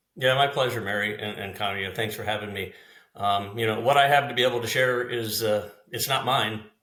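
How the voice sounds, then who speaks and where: A man's bright, sharp, medium-pitched voice at a fairly quick pace, with audible room echo. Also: fairly even intonation. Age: 60s. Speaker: HVAC business owner. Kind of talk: podcast interview. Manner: hesitant fillers, many uh and you know.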